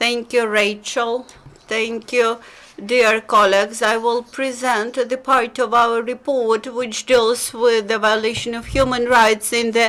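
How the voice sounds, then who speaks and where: At a fairly slow pace, a woman speaks in a fairly high voice with monotone, flat intonation. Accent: Belarusian. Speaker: human rights researcher. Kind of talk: press conference presentation. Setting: press conference. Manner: halting, many fillers.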